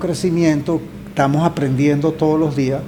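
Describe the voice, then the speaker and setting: Over noticeable background noise, a man talks at a fairly slow pace and a fairly high pitch. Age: 70s. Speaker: journalist and environmental foundation founder. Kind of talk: podcast interview. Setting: studio, seated across from host.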